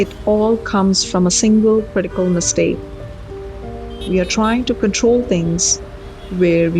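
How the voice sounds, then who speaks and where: Over music in the background, a woman speaks at a fairly slow pace with long, frequent pauses and very even loudness. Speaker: NLP life coach and writer. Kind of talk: self-help talk show monologue.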